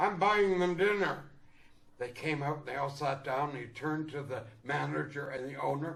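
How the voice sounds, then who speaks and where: A man speaks in a Canadian accent with lively intonation at a moderate pace. Noticeable background noise is present. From Canada. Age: 80s+. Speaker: actor. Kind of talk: casual chat. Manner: animated.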